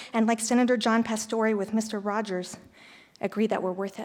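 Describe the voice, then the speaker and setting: A woman with fairly even intonation. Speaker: teacher, public commenter. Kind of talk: public comment speech. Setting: school board meeting room. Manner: fast.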